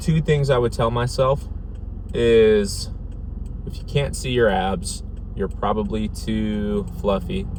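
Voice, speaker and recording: A man's very slow speech with long, frequent pauses, audible room echo, and noticeable background noise. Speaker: fitness vlogger. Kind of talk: vlog monologue. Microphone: dead mic, poor audio quality.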